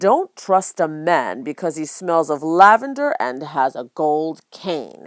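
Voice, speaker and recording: A woman puts on a gruff, growling character voice pitched very deep and low, speaking at a fairly slow pace with hardly any pauses and lively intonation. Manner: growling, gruff.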